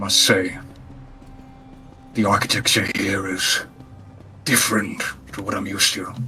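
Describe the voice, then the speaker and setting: Putting on a character voice, a man speaks at a moderate pace in a fairly low pitch, with long, frequent pauses and clear music in the background. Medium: game stream. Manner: formal, deadpan, clipped.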